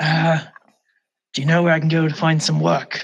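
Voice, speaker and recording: A man uses a put-on character voice. He speaks at a fairly slow pace with a fairly high pitch. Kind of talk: put-on dark vigilante growl. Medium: actual play. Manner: terse, brooding.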